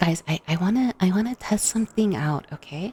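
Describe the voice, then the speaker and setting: Somewhat breathy, a woman speaks at a moderate pace with ordinary pitch variation, in a dry, close sound with no echo. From Costa Rica. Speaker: vtuber ASMR streamer. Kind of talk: ASMR livestream chat. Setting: livestream. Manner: soft-spoken.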